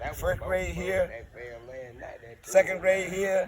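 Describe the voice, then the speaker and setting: A man with an American accent talks while noticeable background noise carries on behind him. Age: 70s. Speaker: family elder. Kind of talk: casual chat.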